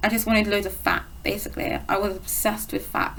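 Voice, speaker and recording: A woman with a British accent is heard amid noticeable background noise and audible room echo. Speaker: eating disorder recovery vlogger. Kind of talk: casual vlog monologue. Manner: fast.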